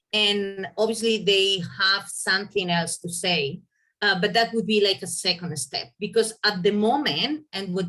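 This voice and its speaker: Her bright, sharp tone comes with a Spanish accent, medium pitch and ordinary pitch variation in this woman's voice. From Spain. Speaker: veterinarian. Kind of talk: presentation. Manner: hesitant, with fillers.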